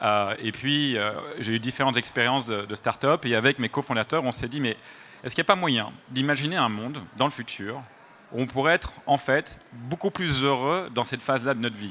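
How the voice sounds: A man's voice with a slight Belgian accent, medium pitch and a bright, sharp tone, at a fairly quick pace. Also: ordinary pitch variation.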